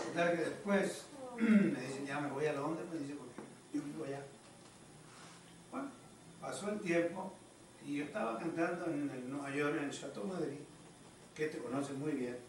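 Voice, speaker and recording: Over light background noise and audible room echo, a man with a fairly high pitch speaks at a moderate pace with ordinary pitch variation. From Chile. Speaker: bolero singer. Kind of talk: casual storytelling at family gathering. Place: home room. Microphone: camera far.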